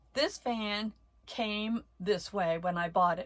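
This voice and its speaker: A somewhat breathy woman speaks with ordinary pitch variation on a very clean recording with a silent background. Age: 70s. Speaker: vlogger living with bipolar disorder. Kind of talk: personal storytelling vlog.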